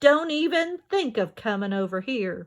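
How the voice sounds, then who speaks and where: A woman uses a put-on character voice that is gruff and rumbling yet fairly high in pitch. She moves at a moderate pace with very wide pitch swings. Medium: read story. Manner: gruff, grumbling.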